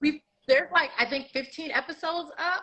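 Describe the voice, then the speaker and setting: A loud, high-pitched woman with an American accent. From New York. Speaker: sponsorship and marketing consultant. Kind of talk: podcast interview.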